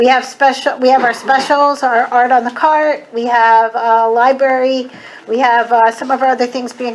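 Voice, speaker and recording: A woman with a high pitch and an American accent, at a moderate pace with fairly even intonation, over noticeable background noise. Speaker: school board member. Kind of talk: public presentation at village board meeting.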